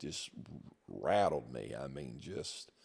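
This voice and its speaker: A man with an American accent speaks at a very slow pace, his lively intonation laced with vocal fry. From US Midwest, southeast Missouri. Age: 60s. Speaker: pastor. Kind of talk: testimony. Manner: hesitant, with many fillers.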